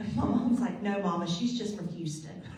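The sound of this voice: A woman at medium pitch, moderate pace and ordinary pitch variation, slightly mellow in tone, with strong room echo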